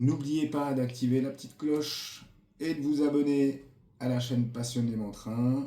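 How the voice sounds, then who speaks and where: A man speaks in a dark, mellow tone at a fairly slow pace. Audible room echo surrounds his voice. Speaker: model train youtuber. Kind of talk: product review. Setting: home recording with camera operator. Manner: hesitant, many fillers.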